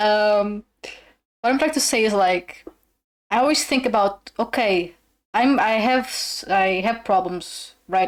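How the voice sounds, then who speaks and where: A woman at a fairly slow pace, fairly high in pitch, with ordinary pitch variation. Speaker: streamer. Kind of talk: casual chat. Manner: animated.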